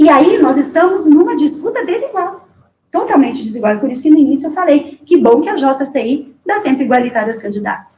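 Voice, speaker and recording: A woman with a high pitch talks at a fairly quick pace, her intonation lively. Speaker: political candidate. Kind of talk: interview. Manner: formal.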